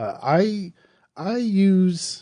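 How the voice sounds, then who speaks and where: A man speaks with an American accent over a quiet background. His tone is dark and mellow. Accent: Southern US, usually hidden when recording. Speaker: horror podcast host. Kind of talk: casual podcast monologue. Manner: conversational, with fillers and restarts.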